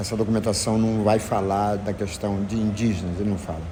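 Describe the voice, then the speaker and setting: Audible room echo and noticeable background noise surround the recording. A man speaks at a moderate pace with a fairly low pitch. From Brazil, Maranhão (Barra do Corda). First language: Zenete'hár (Tupi-Guarani language) (speaking Portuguese). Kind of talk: interview, explaining history. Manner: halting, with fillers.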